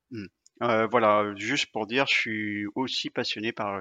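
Fairly even in intonation, a man with a fairly low pitch speaks at a fairly slow pace. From Brittany, France. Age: 40s. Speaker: sportsman living with dialysis. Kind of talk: interview conversation. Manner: hesitant with fillers and repetitions.

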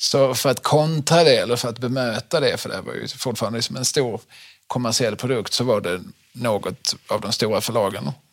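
This man talks at a fairly quick pace in a medium pitch, with vocal fry and ordinary pitch variation. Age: 40s. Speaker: podcast host. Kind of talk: casual chat.

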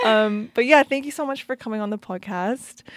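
A plain, everyday voice comes at a moderate pace with ordinary pitch variation, recorded very cleanly against a silent background with a dry, close sound and no echo. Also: woman. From Canada. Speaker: podcast host and DJ. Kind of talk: casual interview. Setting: studio.

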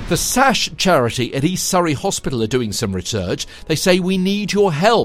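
This man's voice carries vocal fry and very wide pitch swings. He talks at a moderate pace. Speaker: podcast host. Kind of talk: scripted local news podcast presentation. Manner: formal, upbeat.

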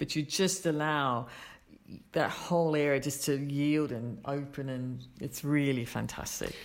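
A woman's very deep, low voice at a fairly slow pace, with fairly even intonation and audible room echo. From Australia. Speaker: yoga teacher. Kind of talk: casual interview.

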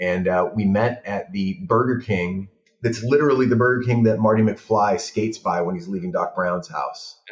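A man with an ordinary speaking voice and an American accent, pitched fairly low. He talks at a moderate pace with ordinary pitch variation. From Los Angeles (San Fernando Valley). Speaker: film director. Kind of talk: casual chat.

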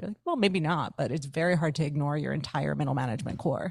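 A woman with an American accent, very deep and low in pitch, vocal fry, a very fast pace and a quiet background. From United States. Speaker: former tech PR professional, workplace consultant. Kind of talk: podcast interview conversation. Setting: video call.

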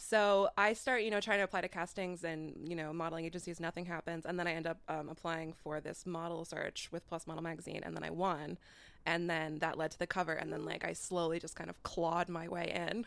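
A woman with an ordinary speaking voice and an American accent, fairly low in pitch, at a fairly quick pace with hardly any pauses, in a very clean recording with a silent background. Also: fairly even intonation. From Iowa. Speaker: podcast host, social media influencer. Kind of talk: casual chat.

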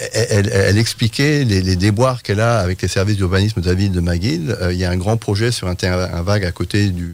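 A man speaks fairly quickly in an ordinary speaking voice, his fairly low pitch moving with ordinary variation. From France. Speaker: urban planning professor. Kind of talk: radio interview.

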